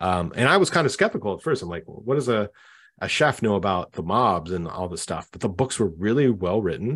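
Against a quiet background, a plain, everyday voice with a Canadian accent moves at a fairly quick pace with lively intonation. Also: man, fairly low pitch for a man. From Canada. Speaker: author and community manager. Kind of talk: casual interview.

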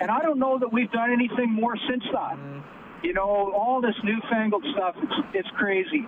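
Delivered at a moderate pace with a Canadian accent, the voice comes through over noticeable background noise. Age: 50s. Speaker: teacher. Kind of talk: call-in radio talk. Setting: phone call. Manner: animated.

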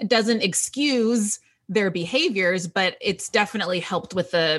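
Using a normal speaking voice, a woman talks at a fairly slow pace with lively intonation. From Texas, US South. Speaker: writer. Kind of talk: casual interview chat.

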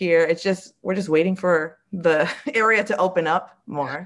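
A woman is heard in a very clean recording with a silent background. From Springfield, Massachusetts (Puerto Rican family). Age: 30s. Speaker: drag performer. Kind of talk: casual chat.

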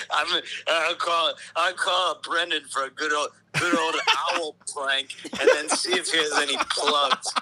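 Fairly slow speech from a man, with long, frequent pauses and noticeable background noise. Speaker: phone guest. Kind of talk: casual banter.

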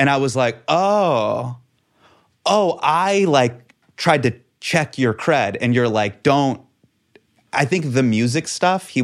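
A man with an unremarkable speaking voice talks at a medium pitch with lively intonation. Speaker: comedian. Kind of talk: casual conversation.

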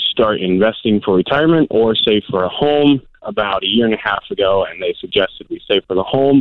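A man talks at a moderate pace in a normal speaking voice. His pitch is fairly low, with ordinary pitch variation. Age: 20s. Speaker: church volunteer. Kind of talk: phone-in call.

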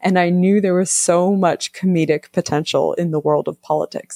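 A woman speaks at a moderate pace in a fairly low pitch, her intonation flat and monotone, with a dry, close sound and no echo. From US, moved around (Navy family). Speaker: novelist. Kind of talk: casual interview.

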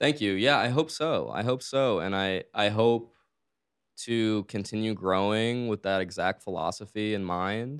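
A man's plain, everyday voice, fairly low-pitched and fairly slow, with ordinary pitch variation on a very clean recording with a silent background. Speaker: DJ and music producer, former city councilman. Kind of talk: interview.

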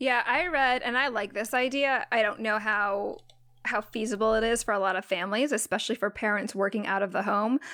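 Her voice bright and sharp, a woman speaks at a fairly quick pace with a fairly high pitch, very even loudness and ordinary pitch variation. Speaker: podcast co-host, writer. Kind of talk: casual chat.

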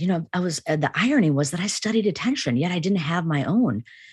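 Speaking with a Chicago accent, a woman uses very wide pitch swings at a fairly quick pace. Her voice is fairly low in pitch and somewhat breathy. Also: quiet background. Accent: American, Chicago. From US Midwest (Chicago), Indian family. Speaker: psychology professor. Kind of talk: interview.

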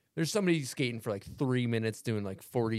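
Speaking very fast, a man talks in an American accent. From US South. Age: 30s. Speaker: podcast host. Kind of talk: casual chat.

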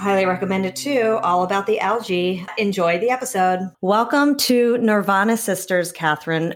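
Speaking in a plain, everyday voice at medium pitch, a woman keeps a moderate pace, very even loudness and hardly any pauses. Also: ordinary pitch variation. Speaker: podcast host. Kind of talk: casual chat.

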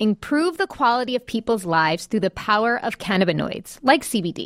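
An unremarkable speaking voice, a woman's, fairly high, with an American accent, lively intonation and a fairly quick pace, on a very clean recording with a silent background. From New York. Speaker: podcast co-host. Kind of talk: casual chat and interview.

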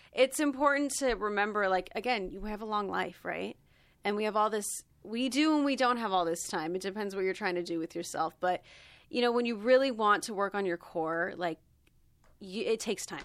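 Speaking at a fairly quick pace, a woman has a medium pitch, lively intonation and a plain, everyday voice. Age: 30s. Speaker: podcast co-host. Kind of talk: casual chat.

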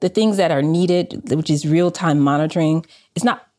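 A woman speaks in an American accent. Her tone is dark and mellow, and her pitch is very deep and low. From US South, Southwest Atlanta. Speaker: company founder and data scientist. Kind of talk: interview.

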